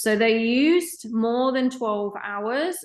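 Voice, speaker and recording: A woman with a British accent, fairly high in pitch, at a fairly slow pace with ordinary pitch variation, over a quiet background. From UK. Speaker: professor. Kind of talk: lecture. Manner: hesitant fillers.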